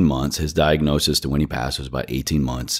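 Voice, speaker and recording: A man with a very deep, low pitch, vocal fry and an American accent, at a fairly quick pace. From Virginia, US. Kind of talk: interview.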